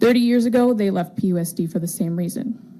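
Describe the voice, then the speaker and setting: Somewhat breathy and dark, mellow in tone, a woman with an American accent speaks at a fairly quick pace with fairly even intonation. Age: 20s. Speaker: teacher giving public comment. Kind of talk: public comment at a school board meeting. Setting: public board meeting.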